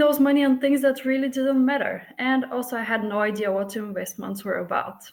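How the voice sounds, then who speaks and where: A high-pitched woman's voice in a Bulgarian accent, with ordinary pitch variation. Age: 30s. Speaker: flight attendant, coaching client. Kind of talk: testimonial interview.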